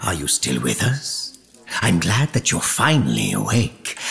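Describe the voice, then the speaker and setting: A man's put-on character voice, pitched very deep and low. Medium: audio drama. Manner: courteous but pressing.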